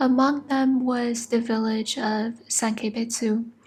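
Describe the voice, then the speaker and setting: Music plays in the background as a woman speaks. Her pitch is fairly high and her intonation fairly even. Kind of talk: ASMR sleep story. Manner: soft-spoken.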